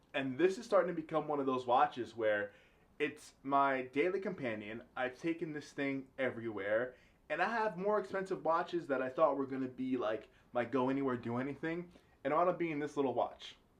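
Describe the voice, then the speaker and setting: A man's ordinary speaking voice, fairly high in pitch, with lively intonation and a fairly quick pace. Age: 30s. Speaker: vlogger. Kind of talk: casual vlog monologue. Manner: casual.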